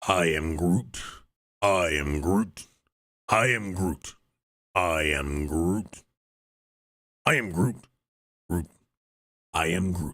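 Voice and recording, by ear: A man puts on a strained character voice with a very deep, low pitch. He speaks at a very slow pace, with long, frequent pauses.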